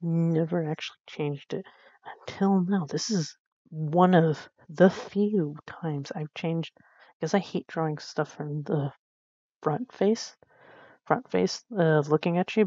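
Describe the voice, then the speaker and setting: Long, frequent pauses break up a woman's fairly slow speech. Her voice is fairly low, with ordinary pitch variation. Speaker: beginner artist YouTuber. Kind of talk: casual voiceover commentary on drawing. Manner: halting, many restarts.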